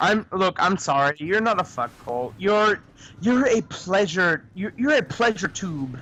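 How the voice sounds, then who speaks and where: A man's raised, projected voice, high-pitched with a bright, sharp tone, very wide pitch swings and a fairly slow pace. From Quebec. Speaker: gaming stream co-player. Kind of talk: casual chat. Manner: animated.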